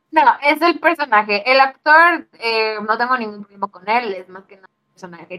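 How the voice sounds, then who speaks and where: Speaking fairly slowly with a Mexican accent, a woman moves through very wide pitch swings. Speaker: podcast co-host. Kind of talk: casual chat.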